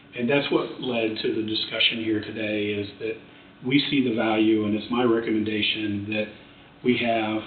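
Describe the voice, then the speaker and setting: Amid noticeable background noise and audible room echo, a man speaks at a medium pitch and a fairly quick pace. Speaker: project presenter at county commission. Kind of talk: public meeting presentation. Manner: fast.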